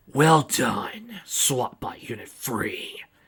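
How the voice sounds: A man's put-on character voice, growling throughout.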